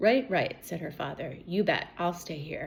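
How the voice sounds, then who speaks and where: In a put-on character voice, the speaker sounds raspy, with lively intonation at a moderate pace. Loudness swings widely. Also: woman. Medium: read story.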